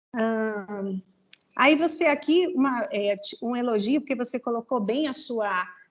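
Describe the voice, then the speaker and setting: An unremarkable speaking voice from a woman, fairly high in pitch, with ordinary pitch variation and a fairly slow pace. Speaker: thesis examiner. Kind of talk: academic feedback on a dissertation defense.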